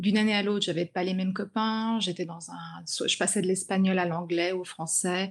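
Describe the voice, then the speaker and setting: Speaking at a fairly slow pace with fairly even intonation, a woman has an unremarkable speaking voice on a very clean recording with a silent background. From grew up in China. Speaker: author and journalist. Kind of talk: interview.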